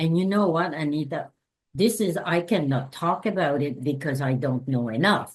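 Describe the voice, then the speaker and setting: A woman speaks with a Quebec accent. Her pitch is very deep and low. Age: 70s. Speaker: anthropologist and sex worker rights activist. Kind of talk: interview. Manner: halting.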